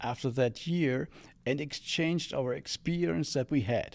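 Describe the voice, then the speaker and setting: In a very clean recording with a silent background, a man talks at a fairly slow pace. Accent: German. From Germany, Bremen. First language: German. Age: 70s. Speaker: former exchange student. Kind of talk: interview. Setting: studio. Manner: halting.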